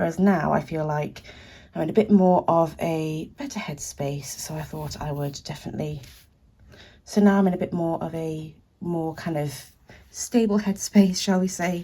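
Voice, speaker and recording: A woman's fairly low, somewhat breathy voice with a British accent, dark and mellow in tone, at a moderate pace with ordinary pitch variation and big swings in loudness. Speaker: artist and small business owner. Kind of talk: art supply swatching tutorial.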